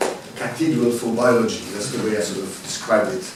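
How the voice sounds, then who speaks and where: A man with a Swiss French accent speaks at medium pitch and a fairly quick pace, with ordinary pitch variation. Audible room echo and noticeable background noise fill the recording. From French-speaking Switzerland, Lausanne. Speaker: university biologist, parasitologist. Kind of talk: lecture. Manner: halting.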